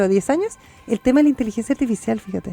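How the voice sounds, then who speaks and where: Music plays behind a woman with a Chilean accent. She talks at a very fast pace in a high pitch. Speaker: radio host. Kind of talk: panel discussion. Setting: radio studio.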